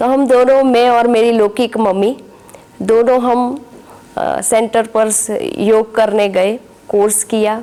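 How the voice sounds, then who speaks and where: Over noticeable background noise, a woman with a fairly high pitch talks in a monotone, flat way. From Gujarat, India. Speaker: spiritual teacher. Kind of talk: testimony.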